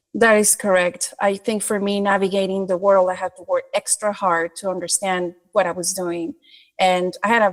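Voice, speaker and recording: A woman's medium-pitched voice at a moderate pace, fairly even in intonation, dry and close with no echo. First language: not English. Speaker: creative director. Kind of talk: podcast interview.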